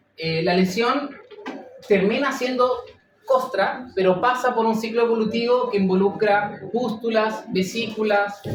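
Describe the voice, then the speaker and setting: The speech comes at a fairly slow pace amid noticeable background noise. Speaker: veterinary lecturer. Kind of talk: lecture.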